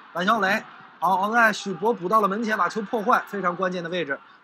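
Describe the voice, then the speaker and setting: Raising and projecting his voice in an animated tone, a man speaks over noticeable background noise. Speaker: football commentator. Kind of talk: live football match commentary. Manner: fluent, chatty and conversational, with frequent 'uh' fillers; animated, reacting to chances and near-misses as they happen.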